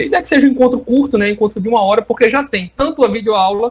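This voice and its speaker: Very fast speech comes from a man with a high pitch. His intonation is lively. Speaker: university lecturer. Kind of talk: online lecture. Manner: animated.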